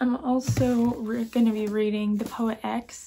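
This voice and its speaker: A woman speaks in a monotone, flat way with a somewhat breathy, dark, mellow tone. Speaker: book vlogger. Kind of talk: casual vlog chat. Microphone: phone near.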